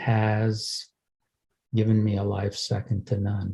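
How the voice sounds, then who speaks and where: Somewhat breathy and fairly low-pitched, a man speaks at a very slow pace. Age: 70s. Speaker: twelve-step program member. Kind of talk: recovery share. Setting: video call. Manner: halting, many fillers.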